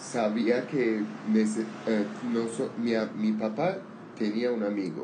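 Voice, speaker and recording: Speech comes at a very slow pace with fairly even intonation, set against audible room echo and noticeable background noise. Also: man, medium pitch for a man. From Armenian, raised in Syria/Lebanon. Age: 30s. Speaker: language learning conversation partner. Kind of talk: casual chat. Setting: outdoors on a patio. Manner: halting.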